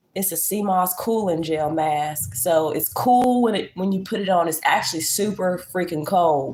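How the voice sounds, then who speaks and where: A woman talks at a moderate pace with hardly any pauses, in an animated tone at a medium pitch with ordinary pitch variation. Noticeable background noise is present. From Virginia. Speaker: lifestyle livestreamer. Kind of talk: casual livestream chat and tutorial. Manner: animated, casual.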